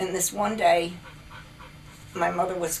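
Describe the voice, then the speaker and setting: Moderate pace and ordinary pitch variation, with music in the background. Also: woman. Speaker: grandmother. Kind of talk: interview answer, family storytelling.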